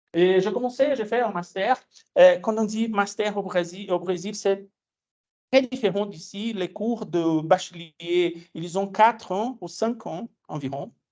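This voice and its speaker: A man with a Brazilian accent speaks at a very slow pace. His pitch is high, with ordinary variation. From Brazil, Minas Gerais. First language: Portuguese (speaking French). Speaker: physics education researcher, lecturer. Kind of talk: lecture. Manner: hesitant, many fillers.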